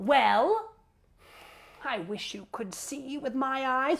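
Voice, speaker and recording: A woman puts on a character voice with a high pitch and very wide pitch swings. She speaks at a very slow pace. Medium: stage play. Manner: exasperated, pleading.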